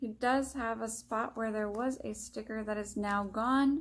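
Delivered at a fairly slow pace, this somewhat breathy voice keeps its intonation fairly even. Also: woman. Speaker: antique reseller vlogger; reseller showing a haul. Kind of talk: shop-with-me vlog narration. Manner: casual, hesitant with frequent fillers. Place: home room. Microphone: phone near.

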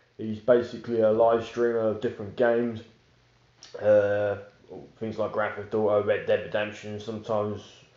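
Audible room echo surrounds a man's dark, mellow voice, fairly low in pitch, with little pitch movement at a moderate pace.

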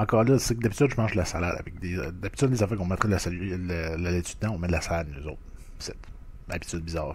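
Somewhat breathy and very fast, a man speaks with a very deep, low pitch. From Quebec. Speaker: food review YouTuber. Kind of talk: casual food review monologue. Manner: hesitant, many fillers. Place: home room. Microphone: webcam.

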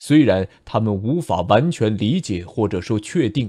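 A man with a plain, everyday voice talks at a fairly slow pace and medium pitch, with lively intonation against a quiet background. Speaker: audiobook narrator. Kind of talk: audiobook novel narration.

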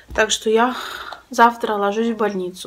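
A woman speaks at a moderate pace while light background noise is heard. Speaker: vlogger sharing personal news. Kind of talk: casual vlog chat. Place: home room. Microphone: phone near.

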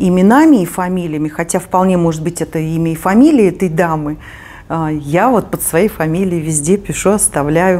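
The voice has a dark, mellow tone. Its pitch varies in an ordinary way. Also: woman. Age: 50s. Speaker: knitting video blogger. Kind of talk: casual chat; tutorial. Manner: conversational with hesitations. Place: home room.

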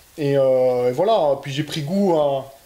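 A man with a fairly high pitch talks at a fairly slow pace. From Belgium. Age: 20s. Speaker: rally driver. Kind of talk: interview. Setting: car dealership building. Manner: halting. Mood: relaxed, friendly.

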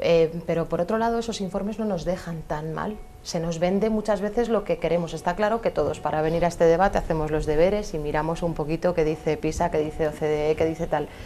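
A woman with a fairly low pitch and ordinary pitch variation talks at a fairly quick pace with hardly any pauses, over light background noise. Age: young. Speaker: primary teacher and local councillor; primary teacher, local councillor. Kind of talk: televised debate. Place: studio. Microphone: lapel.

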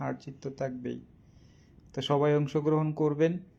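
Dark, mellow tone in a man's voice pitched fairly high. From Bangladesh, Kishoreganj district. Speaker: social media quiz host. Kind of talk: casual live stream talk. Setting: live video stream. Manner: halting.

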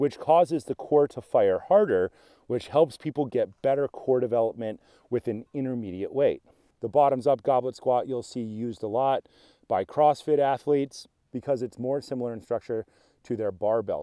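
Delivered at a moderate pace with ordinary pitch variation, the voice sounds dry with no echo against a quiet background. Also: man. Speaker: fitness coach. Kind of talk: tutorial. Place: open country.

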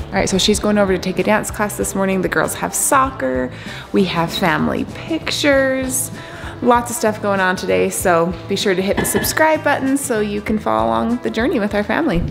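A woman talks fairly quickly while clear music plays in the background. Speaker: parent vlogger. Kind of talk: casual vlog chat. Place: home room. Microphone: phone near.

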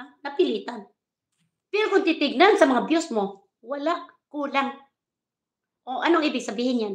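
A woman speaks at a high pitch and moderate pace, with lively intonation, an animated tone and long, frequent pauses. Audible room echo surrounds her against a quiet background. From Philippines. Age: 60s. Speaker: vlogger. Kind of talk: live stream rant. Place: home room. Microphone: phone near.

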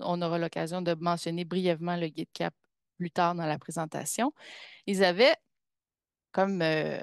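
In a Quebec accent, a woman speaks at a moderate pace over a quiet background, with a dry, close sound and no echo. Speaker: pedagogical counsellor, community of practice facilitator. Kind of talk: webinar presentation. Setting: video call webinar with screen sharing.

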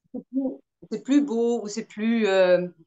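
Against a quiet background, a woman talks at a very slow pace with ordinary pitch variation. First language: German. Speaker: actress. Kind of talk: casual chat. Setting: video call. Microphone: video call.

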